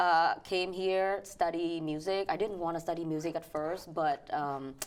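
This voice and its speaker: Speaking fairly slowly in a Vietnamese accent, a woman's fairly low voice carries fairly even intonation. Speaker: financial educator and pianist. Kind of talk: interview. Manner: halting.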